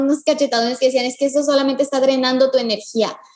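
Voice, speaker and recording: In a monotone, flat delivery, a woman speaks at a very fast pace in a high pitch against noticeable background noise. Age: 20s. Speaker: dancer and dance teacher. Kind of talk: interview.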